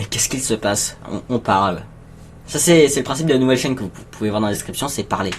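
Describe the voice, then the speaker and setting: Over noticeable background noise, a man talks at a very fast pace. His medium-pitched voice shows ordinary pitch variation. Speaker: streamer. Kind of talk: live stream chat with viewers. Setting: home live stream. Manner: halting; soft-spoken.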